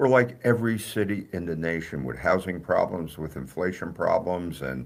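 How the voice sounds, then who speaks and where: Here a man talks in a very deep, low pitch with vocal fry. His intonation is lively, and he has an American accent. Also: moderate pace. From New Jersey. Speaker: mayor. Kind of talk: radio interview. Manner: halting, many fillers.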